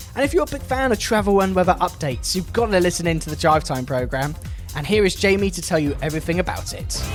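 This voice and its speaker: Very fast, upbeat man with a high pitch and lively intonation, over background music. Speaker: radio presenter. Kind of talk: local radio DJ links. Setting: studio.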